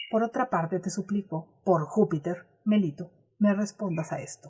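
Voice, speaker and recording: A woman talks at a fairly slow pace. Her medium-pitched voice is somewhat breathy. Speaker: audiobook narrator. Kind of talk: audiobook reading of a classic text.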